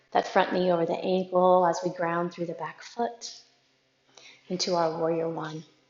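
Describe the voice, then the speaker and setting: A woman's fairly low voice at a moderate pace, monotone and flat in intonation. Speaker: yoga instructor. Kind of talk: guided yoga class. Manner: calm, gentle; soft-spoken.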